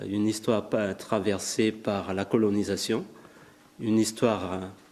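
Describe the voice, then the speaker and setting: With a Malagasy accent, a man speaks fairly slowly at a fairly low pitch. His intonation stays fairly even. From Madagascar. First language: Malagasy (speaking French). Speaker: writer. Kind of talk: lecture. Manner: halting.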